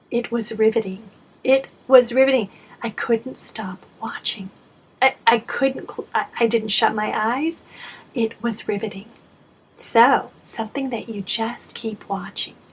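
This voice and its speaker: Over noticeable background noise, a woman with an American accent and a fairly high voice speaks at a fairly slow pace, with fairly even intonation and long, frequent pauses. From United States. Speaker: English teacher; voice-over narrator. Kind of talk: English lesson to camera.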